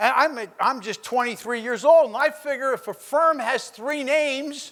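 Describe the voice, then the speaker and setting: An extremely high-pitched man's voice, animated in tone, at a moderate pace with ordinary pitch variation. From New Jersey, Trenton. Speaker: businessman. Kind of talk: motivational speech. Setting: stage with audience.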